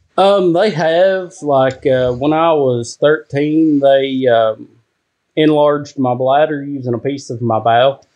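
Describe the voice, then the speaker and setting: A fairly high-pitched male voice at a fairly slow pace, with ordinary pitch variation. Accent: Kentucky. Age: 30s. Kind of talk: casual chat.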